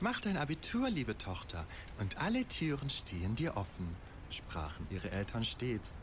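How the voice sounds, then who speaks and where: There is an unremarkable speaking voice from a man with lively intonation. He keeps a fairly slow pace. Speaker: storyteller. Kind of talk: bedtime story telling, a fairy tale with dark satirical twist. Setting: studio.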